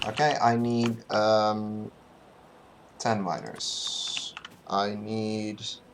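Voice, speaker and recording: Long, frequent pauses break up the very slow speech. Noticeable background noise sits behind it. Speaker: speedrunner streaming a game run. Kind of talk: live gameplay commentary. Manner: quiet; halting, many fillers and counting aloud.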